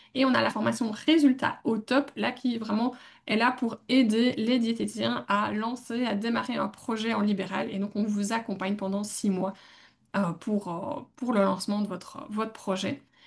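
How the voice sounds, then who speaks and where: Against a quiet background, a woman with a fairly high voice and vocal fry speaks fairly slowly, her intonation fairly even. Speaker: dietitian and podcast co-host. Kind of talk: casual podcast talk.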